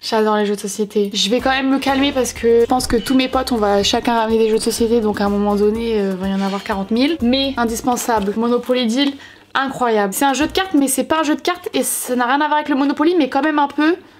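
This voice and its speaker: A woman talks very fast at a high pitch, with an animated tone, ordinary pitch variation, very even loudness and hardly any pauses. Noticeable background noise runs underneath. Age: 20s. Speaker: vlogger. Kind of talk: casual vlog talk to camera.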